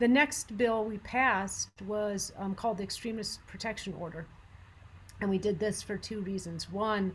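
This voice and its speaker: Against a silent background in a very clean recording, a woman at a medium pitch sounds somewhat breathy. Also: ordinary pitch variation. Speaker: gun violence prevention advocate. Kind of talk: presentation. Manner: fast.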